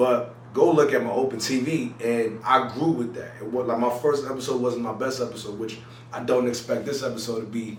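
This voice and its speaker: A man talks at a medium pitch while noticeable background noise and audible room echo fill the recording. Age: 20s. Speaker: YouTuber. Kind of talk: casual vlog talk to camera. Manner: choppy at times; casual, lots of fillers.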